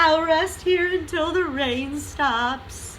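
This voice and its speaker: This is a put-on character voice pitched high and delivered at a very slow pace. Background noise is clearly audible. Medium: read story. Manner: gentle, agreeable.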